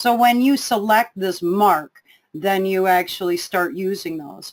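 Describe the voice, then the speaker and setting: With an unremarkable speaking voice, a woman talks at a fairly slow pace and a medium pitch. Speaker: software trainer. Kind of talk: webinar tutorial.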